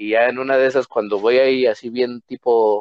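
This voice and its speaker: A man speaks at a moderate pace. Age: 20s. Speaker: podcast guest. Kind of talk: casual chat.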